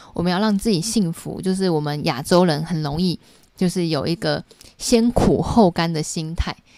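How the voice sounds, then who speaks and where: A woman's fairly low, dark and mellow voice with ordinary pitch variation, at a moderate pace. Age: 30s. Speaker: YouTuber and book club host. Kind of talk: book review livestream. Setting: home livestream. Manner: casual, chatty.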